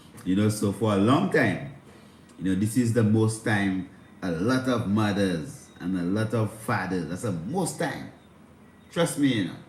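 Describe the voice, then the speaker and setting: A man's fairly low voice with lively intonation at a fairly slow pace, with audible room echo. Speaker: spiritual livestream host. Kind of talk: livestream spiritual talk. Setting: livestream on instagram and youtube. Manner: speaking low.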